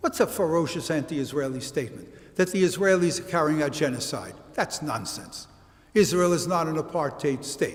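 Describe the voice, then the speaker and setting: A man with a Brooklyn accent talks at a fairly quick pace, his fairly high pitch moving with ordinary variation. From US Northeast, Brooklyn, New York. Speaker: college history professor. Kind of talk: lecture.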